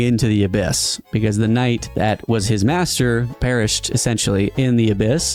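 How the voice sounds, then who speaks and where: A man at medium pitch and a moderate pace, with ordinary pitch variation and music in the background. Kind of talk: casual explanation to his father.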